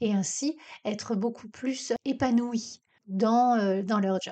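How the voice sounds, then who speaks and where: Fairly high in pitch, a woman with an unremarkable speaking voice talks with ordinary pitch variation. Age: 50s. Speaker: career coach, podcast host. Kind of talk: casual self-interview monologue.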